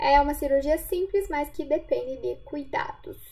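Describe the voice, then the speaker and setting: Her tone dark and mellow, a woman speaks at a fairly slow pace with an extremely high pitch. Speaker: physiotherapist. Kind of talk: lecture.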